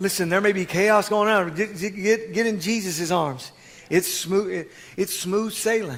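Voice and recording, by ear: Words are read out in a natural voice.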